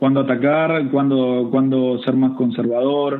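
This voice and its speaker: In a Rioplatense accent, a man speaks at a moderate pace and a medium pitch. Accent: Argentine Rioplatense Spanish. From Argentina, Buenos Aires province. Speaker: golf coach. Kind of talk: interview. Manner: repetitive, halting.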